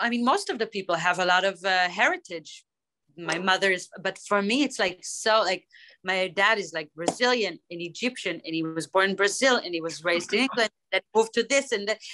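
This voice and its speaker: A woman with a slight British accent talks at a fairly quick pace, her medium pitch showing ordinary variation and her tone bright and sharp. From Israel. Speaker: hip-hop artist. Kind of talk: interview.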